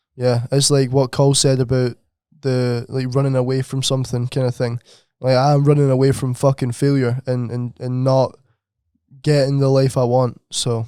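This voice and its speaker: A man with a Scottish accent, medium in pitch, at a moderate pace, his tone dark and mellow, in a dry, close sound with no echo on a very clean recording with a silent background. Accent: Scottish, comments on his. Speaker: podcast co-host. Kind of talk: casual chat. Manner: animated.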